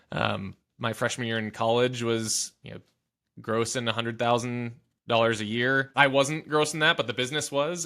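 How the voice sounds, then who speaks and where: A man's bright, sharp voice at medium pitch, with fairly even intonation and an American accent. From US Midwest, Southwest Michigan. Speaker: business founder and CEO. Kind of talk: interview conversation. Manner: stutter, repeats words.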